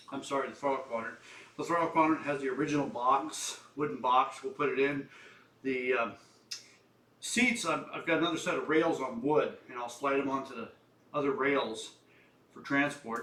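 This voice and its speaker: In audible room echo, a man speaks with ordinary pitch variation and long, frequent pauses. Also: fairly high pitch for a man, moderate pace. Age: 70s. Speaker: flight sim hobbyist video maker. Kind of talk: casual tutorial-style vlog. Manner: halting, with many fillers.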